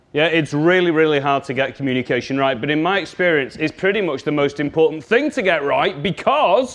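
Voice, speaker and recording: A man in a Scouse accent, animated in tone. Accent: Scouse (Liverpool English). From Liverpool, England. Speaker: communication trainer. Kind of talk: workshop presentation.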